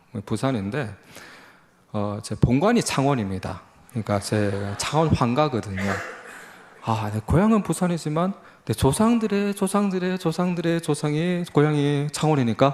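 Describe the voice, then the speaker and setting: Long, frequent pauses break up a man's fairly high-pitched speech, which has very wide pitch swings. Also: moderate pace. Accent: Busan. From South Korea, Busan. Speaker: lay missionary, guest speaker. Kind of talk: sermon / mission report. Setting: church service. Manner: halting, many fillers.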